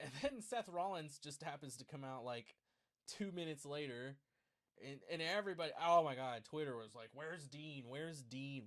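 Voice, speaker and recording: A man's lively intonation carries his speech along at a moderate pace. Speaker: wrestling show reviewer. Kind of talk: live show review. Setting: live stream. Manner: casual, filler-heavy; talks quietly at one point.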